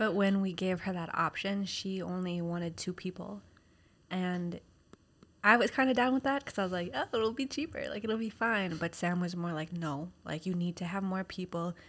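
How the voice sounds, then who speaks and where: On a very clean recording with a silent background, a woman speaks at a moderate pace with an unremarkable speaking voice. Her pitch is medium, with ordinary pitch variation. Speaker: podcast co-host, caregiver to a child. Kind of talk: casual chat.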